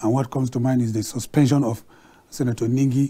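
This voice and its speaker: The tone is dark and mellow. Intonation stays fairly even. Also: man. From Nigeria. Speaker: TV talk show host; TV show host. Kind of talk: live TV discussion moderation. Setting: TV studio. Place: studio. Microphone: lapel.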